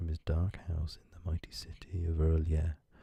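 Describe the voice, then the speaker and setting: A man speaks at a moderate pace with a very deep, low pitch. His tone is dark and mellow, and somewhat breathy. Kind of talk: audiobook reading of a horror story, ASMR. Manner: soft-spoken, whispery.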